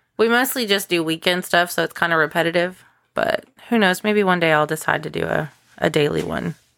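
A woman talks at a fairly quick pace. Her pitch is fairly low, with ordinary variation. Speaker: podcast co-host. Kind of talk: casual chat. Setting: home recording. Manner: animated.

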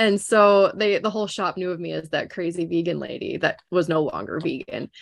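A woman speaks with a Minnesotan accent. The background is quiet. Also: fairly quick pace. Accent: Minnesota. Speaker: podcast guest. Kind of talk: casual chat. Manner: animated.

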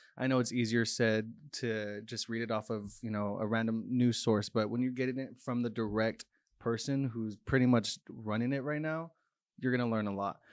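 With a plain, everyday voice, this man speaks at a moderate pace and medium pitch, his intonation fairly even against a quiet background. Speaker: marketing coordinator, recent graduate. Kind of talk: casual chat.

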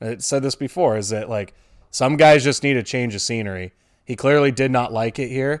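The recording is very clean with a silent background, and a man talks at a moderate speed with a medium pitch and ordinary pitch variation. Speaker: sports podcast co-host. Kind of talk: casual chat. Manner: animated.

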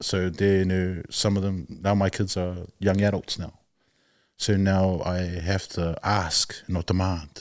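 Very deep and low, a man's voice holds a monotone, flat intonation at a fairly slow pace. The recording is very clean, the background silent. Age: 40s. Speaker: father speaking about parenting and culture. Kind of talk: casual chat. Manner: halting, many fillers.

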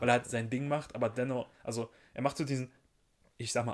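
Fairly even intonation from a man, medium in pitch and moderate in pace. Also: very clean recording, silent background. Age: 20s. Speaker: podcast co-host. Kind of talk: casual chat. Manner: hesitant, many fillers.

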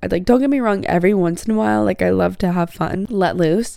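A woman speaks with a dark, mellow tone. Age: 20s. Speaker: podcast host. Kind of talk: solo monologue podcast. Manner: casual, laughing.

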